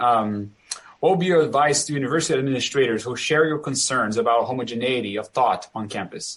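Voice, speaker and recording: A man speaks at a very fast pace with a Brazilian accent. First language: Portuguese. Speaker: professor and moderator. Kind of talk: panel discussion.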